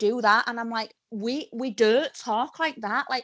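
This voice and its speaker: A woman talks with a Yorkshire accent. Her pitch is fairly high and her pace moderate. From Yorkshire, England. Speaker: professional wrestler. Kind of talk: podcast interview. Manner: animated storytelling.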